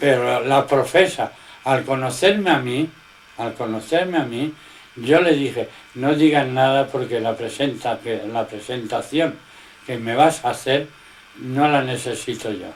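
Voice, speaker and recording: A man's fairly slow speech, with ordinary pitch variation, comes through noticeable background noise. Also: medium pitch for a man. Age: 80s+. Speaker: religious teacher. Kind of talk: informal religious teaching in conversation.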